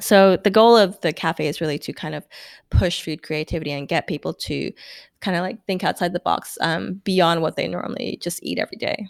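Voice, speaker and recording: A woman speaks at a fairly quick pace with vocal fry and a fairly low pitch. The recording is very clean and dry, close, with no echo and a silent background. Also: ordinary pitch variation. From Brunei. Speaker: home cook and coffee shop owner. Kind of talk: casual interview.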